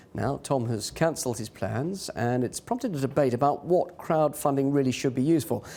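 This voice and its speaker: A man talks at a fairly quick pace, with hardly any pauses. His fairly high voice has a dark, mellow tone and ordinary pitch variation. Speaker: TV news presenter. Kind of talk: live TV news interview.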